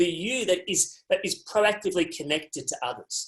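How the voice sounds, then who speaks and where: Speaking at a moderate pace, a man with an Australian accent shows ordinary pitch variation. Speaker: resilience speaker. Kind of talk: webinar talk. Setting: video call.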